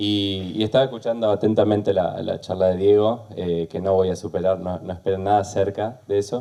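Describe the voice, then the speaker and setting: A man talks with a very deep, low pitch and a dark, mellow tone. His intonation stays fairly even and his pace is fairly quick. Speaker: university program director, computer science. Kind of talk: panel talk. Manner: hesitant fillers.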